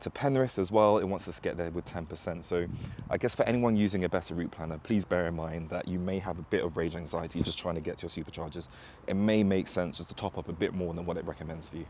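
A very deep, low male voice at a very fast pace, with ordinary pitch variation, dry sound with no echo, and light background noise. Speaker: EV road trip vlogger. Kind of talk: casual vlog chat. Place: street. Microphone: lapel.

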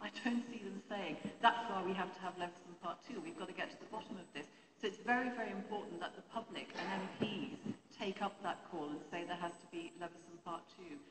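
A woman talks rather quickly while heavy noise fills the background. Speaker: press reform campaigner. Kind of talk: panel Q&A. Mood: earnest, argumentative. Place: hall. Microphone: handheld.

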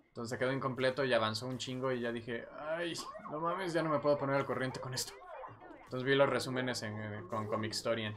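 Noticeable background noise sits under a man speaking very fast at medium pitch with a Mexican accent. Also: ordinary pitch variation. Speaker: gaming streamer. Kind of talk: casual chat.

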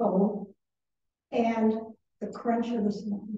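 A woman with a fairly high pitch talks at a fairly slow pace, with audible room echo and light background noise. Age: 40s. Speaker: pastor. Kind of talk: informal talk to a church group. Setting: in-person group gathering with audience. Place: hall. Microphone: camera far.

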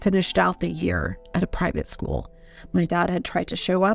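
Faint music sits behind a woman talking at a moderate pace. The sound is dry, with no echo. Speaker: interview guest. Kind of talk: personal story interview answer. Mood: serious, reflective. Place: home room. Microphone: studio mic.

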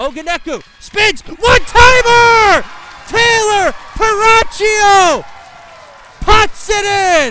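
Over loud background noise, a man with an extremely high pitch for a man speaks in a raised, projected voice at a very slow pace, with ordinary pitch variation and a dry sound with no echo. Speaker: play-by-play broadcaster. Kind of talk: live sports commentary in a demo reel. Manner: rising, punchy calls at big moments. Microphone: headset.

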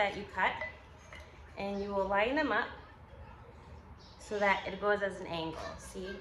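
Noticeable background noise around a woman speaking at a moderate pace. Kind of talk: tutorial. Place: garage. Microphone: phone near.

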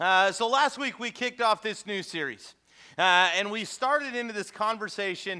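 A man's raised, projected voice, bright and sharp in tone, at a fairly quick pace over a quiet background. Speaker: pastor. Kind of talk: sermon. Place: church.

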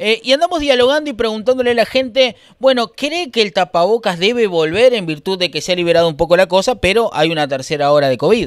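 In a dry recording with no echo and a quiet background, a man with a Uruguayan accent speaks at a very fast pace with hardly any pauses, his high voice animated in tone and swinging very widely in pitch. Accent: Rioplatense Spanish (Uruguay). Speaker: street interviewer. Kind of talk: vox pop street interviews. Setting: outdoors, street. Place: shop. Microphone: handheld.

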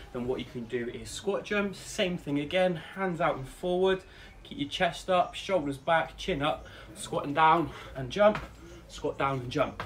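Over light background noise, a man speaks at a fairly slow pace with ordinary pitch variation. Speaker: fitness coach. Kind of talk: tutorial. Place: garden. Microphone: camera far.

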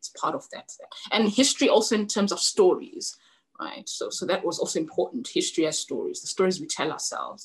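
Over a quiet background, a woman with a high pitch speaks at a fairly quick pace, her pitch swinging very widely and her loudness rising and falling in big swings. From Zimbabwe. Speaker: novelist; guest. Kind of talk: author interview with reading aloud. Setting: webinar video call. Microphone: video call.

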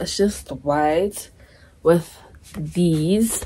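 Noticeable background noise beneath a woman talking at a very slow pace. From South Africa. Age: 20s. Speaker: lifestyle vlogger. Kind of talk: casual vlog talk to camera.

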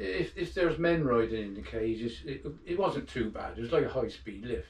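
There is audible room echo as a man talks at a moderate speed. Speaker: interviewee. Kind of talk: interview answer. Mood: relaxed, reflective. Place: home room. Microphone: camera far.

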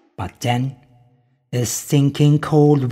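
A man's solemn, dramatic voice, dark and mellow in tone, at a medium pitch and somewhat breathy. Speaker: narrator reading mythic text. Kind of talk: scripted narration of mythic afterlife text, read aloud. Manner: solemn, dramatic storytelling pace, occasionally breaking into laughter.

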